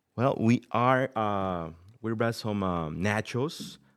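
In a very clean recording with a silent background, a man talks with a Mexican accent. His pitch is fairly low with ordinary variation. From Mexico City, Mexico. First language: Spanish. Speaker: restaurant owner. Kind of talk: interview. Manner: halting, many fillers.

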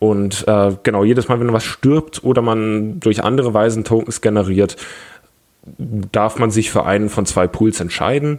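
This is a plain, everyday voice with ordinary pitch variation. The loudness stays very even and the pace is fairly slow. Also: man, fairly low pitch for a man. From Bavaria, Germany (Augsburg). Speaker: tabletop gaming community organizer. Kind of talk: casual podcast chat.

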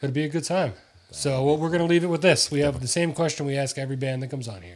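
Somewhat breathy and fairly high in pitch, a man with an American accent speaks on a very clean recording with a silent background. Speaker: podcast host. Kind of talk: casual chat.

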